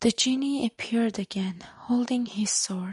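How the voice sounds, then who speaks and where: A soft-spoken voice at a fairly slow pace over a quiet background. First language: not English. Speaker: storyteller. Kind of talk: reading aloud. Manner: halting.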